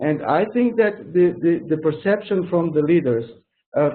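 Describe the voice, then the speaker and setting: With a Portuguese accent, a man speaks at a moderate pace in a fairly high pitch with fairly even intonation. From Portugal. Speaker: project manager. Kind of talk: webinar interview. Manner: halting, many restarts.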